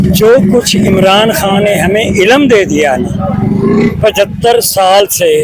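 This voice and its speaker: Over noticeable background noise, a man talks in a high voice with ordinary pitch variation. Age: 70s. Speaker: passer-by in street interview. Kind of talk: street debate.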